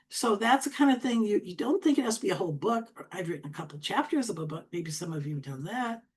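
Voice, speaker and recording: Speaking very fast with hardly any pauses, a woman with an Upper Midwest accent uses a medium pitch that swings very widely, her loudness rising and falling sharply and her voice somewhat breathy. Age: 70s. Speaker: LinkedIn coach. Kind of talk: tutorial.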